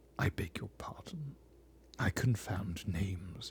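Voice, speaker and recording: A man puts on a pompous character voice, fairly low in pitch and resonant. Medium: read story. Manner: pompous, weighty.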